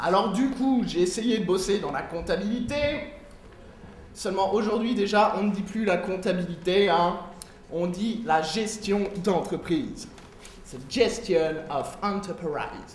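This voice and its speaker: A man speaks at a very slow pace with long, frequent pauses, his pitch high with ordinary variation. Audible room echo and noticeable background noise come through. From France, Lyon. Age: 20s. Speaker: comedian. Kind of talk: stand-up. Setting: stage with audience.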